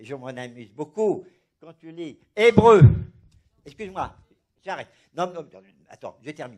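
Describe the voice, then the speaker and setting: With a high pitch and lively intonation, a man speaks at a fairly slow pace, his loudness swinging widely between long, frequent pauses. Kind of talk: religious discussion. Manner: animated; halting, repeats words.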